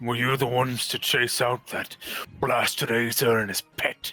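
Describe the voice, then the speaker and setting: Over faint music, a man puts on a raspy character voice at a medium pitch, speaking in a monotone, flat way at a moderate pace. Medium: actual play. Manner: polite, old-fashioned forms of address.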